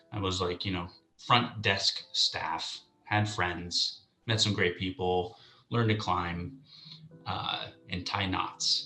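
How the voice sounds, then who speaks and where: Music plays behind a man whose voice sits fairly low. He speaks very slowly, with long, frequent pauses and big swings in loudness. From US West Coast, San Francisco Bay Area. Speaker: real estate agent, interview guest. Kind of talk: casual interview chat. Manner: halting, many fillers.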